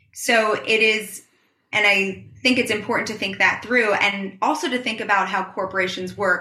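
A woman with an American accent speaks at a fairly high pitch in a bright, sharp tone. Her pace is moderate and her intonation fairly even, with audible room echo. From US Northeast, New York City. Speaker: marine science PhD student. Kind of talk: interview.

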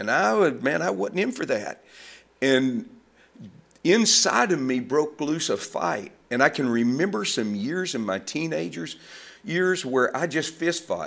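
A man with a Southern US accent, fairly high pitch, vocal fry and very wide pitch swings, at a fairly slow pace. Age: 70s. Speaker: ministry founder. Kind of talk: casual interview conversation.

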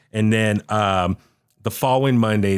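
A man speaks in an unremarkable speaking voice, fairly low in pitch with ordinary variation, captured on a very clean recording against a silent background. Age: 40s. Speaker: wrestling fan and podcast guest co-host. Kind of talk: casual wrestling talk-show chat. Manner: loose, filler-heavy with frequent uh and restarts.

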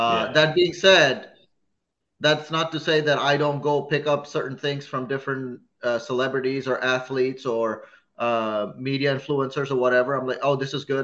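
Medium pitch and ordinary pitch variation from a man, a normal speaking voice at a moderate tempo. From a hot country abroad, moved to Chicago as a child. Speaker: comedian. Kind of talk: casual chat.

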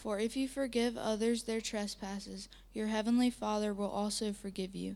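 Her voice is an unremarkable speaking voice, a woman's with a fairly high pitch, fairly even intonation and a moderate pace. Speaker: scripture reader. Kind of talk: reading aloud.

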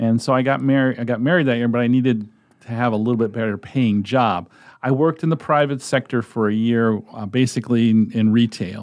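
With an American accent, a man has a plain, everyday voice at medium pitch. He talks at a fairly quick pace with fairly even intonation against a quiet background. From New England (Connecticut). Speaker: volunteer sports reader, retired teacher. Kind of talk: casual interview.

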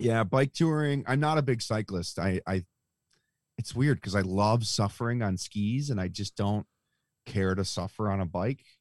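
A man with a normal speaking voice, a fairly low pitch and an American accent, at a moderate pace with ordinary pitch variation, in a dry, close sound with no echo on a very clean recording with a silent background. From Buffalo, New York. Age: 30s. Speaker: telemark skier and outdoor enthusiast. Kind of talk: casual chat. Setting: in his van.

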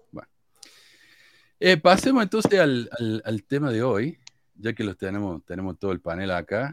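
At a moderate pace, the speaker uses very wide pitch swings and long, frequent pauses, recorded dry and close with no echo. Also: man, big swings in loudness, very clean recording, silent background. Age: 40s. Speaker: podcast host. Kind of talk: casual chat.

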